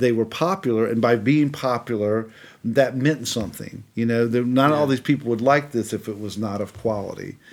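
A man with a plain, everyday voice and an American accent, at a fairly quick pace with ordinary pitch variation, in a very clean recording over a silent background. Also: medium pitch for a man. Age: 50s. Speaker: composer. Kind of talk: casual chat.

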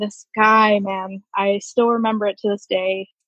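Speaking with an American accent, a woman keeps a fairly high pitch and fairly even intonation. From Virginia, Woodbridge near Washington D.C. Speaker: Navy veteran. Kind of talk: interview.

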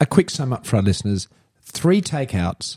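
With an Australian accent, the speaker has a dark, mellow, somewhat breathy tone and very wide pitch swings. The sound is dry and close with no echo. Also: man. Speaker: podcast host, entrepreneur and former mayor. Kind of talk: casual self-help chat. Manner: emphatic, passionate.

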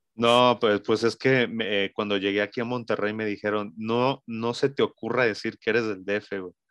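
A medium-pitched man talks at a moderate pace with hardly any pauses and monotone, flat intonation, recorded dry and close with no echo against a quiet background. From Mexico City. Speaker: digital marketing agency co-founder. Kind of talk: casual chat.

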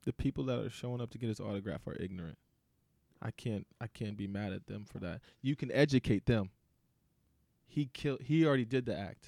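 Speaking at a fairly quick pace with an American accent, a man at medium pitch uses ordinary pitch variation and a dark, mellow tone, leaving long, frequent pauses in a very clean, silent-background recording that sounds dry and close with no echo. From US suburbs. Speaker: podcast host. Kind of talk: casual chat.

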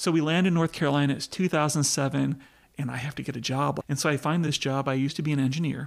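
A man with an American accent, fairly high pitch and fairly even intonation, at a very fast pace, on a very clean recording with a silent background. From US, not the South. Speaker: pastor and entrepreneur. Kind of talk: casual interview.

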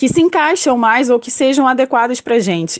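Her pitch high and its variation ordinary, a woman is talking. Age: 20s. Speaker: communications analyst. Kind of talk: testimony.

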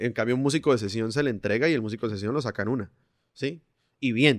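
A man's very fast speech with ordinary pitch variation, dry and close with no echo, on a very clean recording with a silent background. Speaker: singer, percussionist and music producer. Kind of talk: casual interview conversation.

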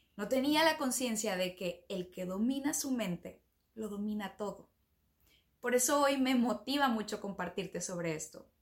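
A woman with a fairly high, somewhat breathy voice is talking. She goes at a fairly slow pace with lively intonation. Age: 30s. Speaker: podcast host, self-development coach. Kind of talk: motivational monologue.

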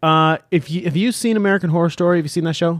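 This man talks at a very fast pace in an animated tone. His voice is high-pitched, with ordinary pitch variation. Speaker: podcast host. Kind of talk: casual banter, music review podcast. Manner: animated, joking.

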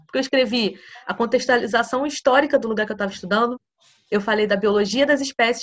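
This woman talks at a very fast pace with a fairly high pitch. Her pitch variation is ordinary. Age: 20s. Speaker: physics PhD student and teacher. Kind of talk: casual interview chat.

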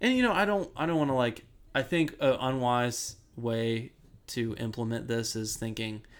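Speaking at a medium pitch, a man talks with an American accent. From Ohio, US Midwest. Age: 20s. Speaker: construction worker. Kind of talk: casual chat. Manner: halting, many fillers.

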